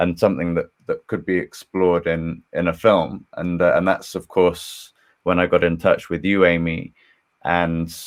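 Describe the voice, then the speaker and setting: A man speaks in a very deep, low voice. His delivery is monotone and flat at a moderate pace. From England. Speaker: historian and screenwriter. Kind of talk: panel discussion. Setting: live stream video call.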